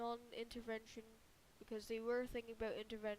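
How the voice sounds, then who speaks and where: A woman with a squeaky voice talks in a monotone, flat intonation. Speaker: alternate history map narrator. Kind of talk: casual narration. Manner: halting, many fillers and restarts.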